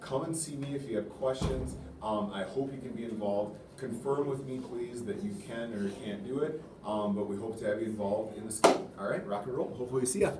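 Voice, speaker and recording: A man talks at a fairly quick pace with ordinary pitch variation over loud background noise. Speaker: school teacher or staff. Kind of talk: announcement to students. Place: classroom. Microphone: camera far.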